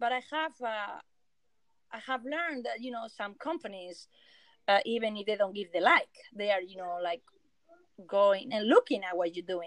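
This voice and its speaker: Lively intonation in a Spanish accent, at a moderate pace, with big swings in loudness and long, frequent pauses. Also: woman, fairly high pitch for a woman. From Spain. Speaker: illustrator and surface pattern designer. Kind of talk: casual interview chat. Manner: halting.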